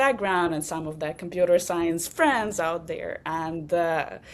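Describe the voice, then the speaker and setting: Speaking fairly slowly, a woman uses lively intonation. Her pitch is medium, and she has a Russian accent. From Belarus. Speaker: startup founder. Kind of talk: casual interview. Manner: halting.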